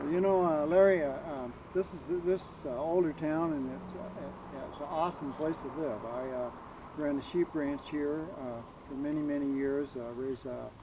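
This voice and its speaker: With noticeable background noise behind him, a man's fairly high voice moves at a moderate pace. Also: ordinary pitch variation. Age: 80s+. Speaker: retired sheep rancher. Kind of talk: interview.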